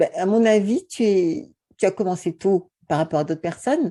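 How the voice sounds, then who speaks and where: The voice has a dark, mellow tone and ordinary pitch variation over a quiet background. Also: woman. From French Antilles. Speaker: YouTube beauty and wellness coach, author. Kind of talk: interview conversation. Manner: hesitant, many repetitions.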